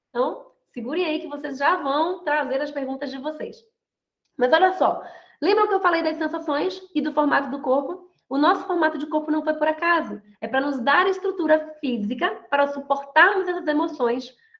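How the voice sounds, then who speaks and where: A woman's high-pitched voice with ordinary pitch variation and audible room echo. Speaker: mentor and body language lecturer. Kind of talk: online lecture. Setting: video call. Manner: fast; animated.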